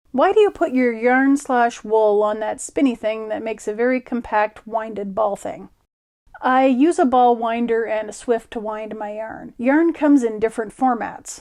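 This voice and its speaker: A woman speaks at a moderate pace in a fairly high-pitched voice with ordinary pitch variation. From Ottawa Valley, Ontario, Canada. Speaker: sewing and crafting video creator. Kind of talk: casual Q and A monologue. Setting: home studio.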